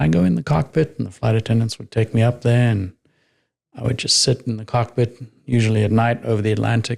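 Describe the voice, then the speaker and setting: A man speaks very fast in a slight southern African accent, somewhat breathy. His pitch is medium, with ordinary pitch variation. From Namibia. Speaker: retired military pilot. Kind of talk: interview testimony.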